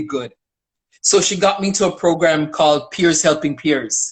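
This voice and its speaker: A woman speaks at a moderate pace in a fairly low pitch. She has an ordinary speaking voice. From Toronto, Canada (Jamaican parents, arrived 1975). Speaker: community worker. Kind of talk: interview.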